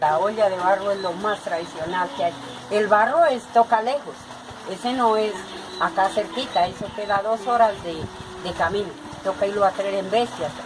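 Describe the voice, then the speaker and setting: Through noticeable background noise, a woman speaks at a moderate pace with a medium pitch and ordinary pitch variation. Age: 60s. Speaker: potter. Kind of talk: documentary interview.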